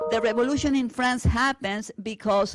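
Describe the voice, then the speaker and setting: The speaker has a Spanish accent and ordinary pitch variation at a moderate pace. The recording is very clean, with a silent background. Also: woman. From Argentina. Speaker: teacher. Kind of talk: lecture. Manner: hesitant with fillers.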